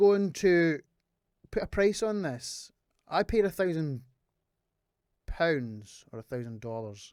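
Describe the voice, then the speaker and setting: A high-pitched man with a British accent speaks with very wide pitch swings and long, frequent pauses. The recording is very clean, with a silent background. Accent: UK. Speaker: trumpet player selling an instrument. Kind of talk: casual product review. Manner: informal, hesitant with fillers.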